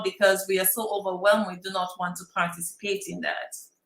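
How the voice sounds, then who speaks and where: Medium-pitched female voice at a moderate pace, monotone and flat in intonation, with audible room echo. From Saint Lucia. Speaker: workshop presenter, prevention scientist. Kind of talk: workshop lecture. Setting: in-person room, wearing a mask.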